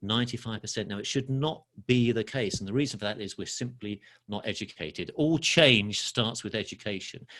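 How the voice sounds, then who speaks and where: A man with an English accent speaks at a fairly quick pace, his tone bright and sharp at a medium pitch. His pitch varies in an ordinary way, and the recording is very clean with a silent background. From London, England. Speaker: financial educator. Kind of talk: podcast interview.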